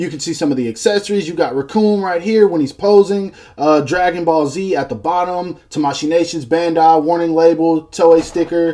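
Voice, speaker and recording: The dark, mellow voice moves with ordinary pitch variation and hardly any pauses. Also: man, high pitch for a man. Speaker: toy reviewer. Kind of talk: product review. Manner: fast; animated.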